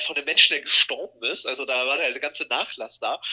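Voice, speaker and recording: A man speaks very fast while noticeable background noise is heard. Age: 20s. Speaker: self-employed blogger and social media creator. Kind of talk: casual chat.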